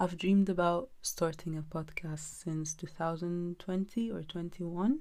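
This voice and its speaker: A woman speaks with a very deep, low pitch. Her pace is fairly slow and her intonation fairly even. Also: very clean recording, silent background. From Egypt. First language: Egyptian Arabic. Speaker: podcast host. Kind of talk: casual chat. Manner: casual, with many fillers and hesitations.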